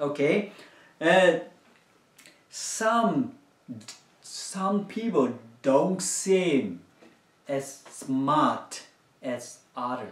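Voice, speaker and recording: A high-pitched man's voice at a very slow pace, with very wide pitch swings, long, frequent pauses, and audible room echo. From Myanmar. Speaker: children's church teacher. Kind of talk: children's sermon. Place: home room.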